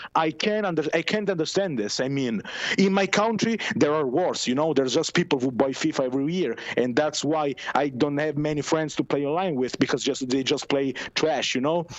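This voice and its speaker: With an Italian accent, a man speaks at a fairly quick pace and a fairly high pitch over noticeable background noise. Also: ordinary pitch variation. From Italy. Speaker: caller. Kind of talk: casual chat. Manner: halting.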